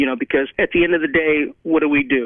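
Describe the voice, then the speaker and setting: A man with a normal speaking voice talks at a fairly quick pace, his fairly high pitch held in a fairly even intonation. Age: 50s. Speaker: football coach and former player. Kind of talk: interview. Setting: sitting down in person.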